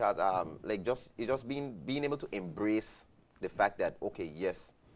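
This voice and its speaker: A man with a British Virgin Islands accent speaks at a moderate pace, his fairly low voice carrying lively intonation. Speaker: guest. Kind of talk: talk show conversation.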